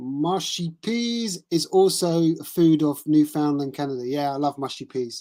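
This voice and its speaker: In an English accent, the speaker goes at a very slow pace on a very clean recording with a silent background. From England. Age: 50s. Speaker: tennis live streamer. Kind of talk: casual chat. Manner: halting.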